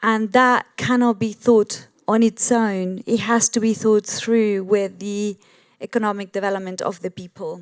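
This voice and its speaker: Fairly high in pitch, a woman speaks at a fairly slow pace in a monotone, flat intonation. The sound is dry and close with no echo, in a very clean recording with a silent background. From Argentina. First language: Spanish. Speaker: sustainability business leader. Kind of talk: panel discussion. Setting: stage with audience.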